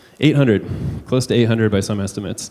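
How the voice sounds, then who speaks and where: A man's medium-pitched voice with fairly even intonation and noticeable background noise. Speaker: tech company civic innovation advisor. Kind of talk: conference talk. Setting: stage with audience. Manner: hesitant, many fillers.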